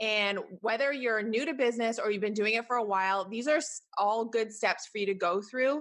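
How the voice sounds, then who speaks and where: A woman with a Canadian accent talks fairly quickly against a quiet background, using an ordinary speaking voice at a fairly high pitch with ordinary pitch variation. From Canada. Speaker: podcast host, business strategist. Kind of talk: solo podcast monologue. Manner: casual, conversational.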